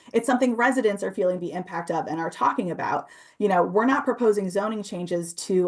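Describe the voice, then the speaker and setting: A woman speaks at a very fast pace. Her pitch variation is ordinary. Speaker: housing advocate. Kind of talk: presentation. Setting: video call.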